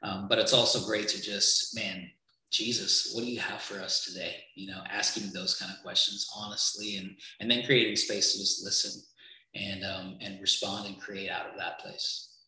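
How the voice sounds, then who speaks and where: The speech carries audible room echo. Its loudness swings widely. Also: man, moderate pace. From Trinidad. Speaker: creative agency worker for churches. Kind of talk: casual interview chat.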